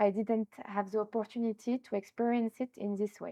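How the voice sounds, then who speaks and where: In a French accent, a woman speaks at a fairly quick pace with a fairly high pitch, a dark, mellow tone and monotone, flat intonation, in a dry, close sound with no echo. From France. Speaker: entrepreneur, tourism business founder. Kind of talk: interview. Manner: hesitant, with fillers.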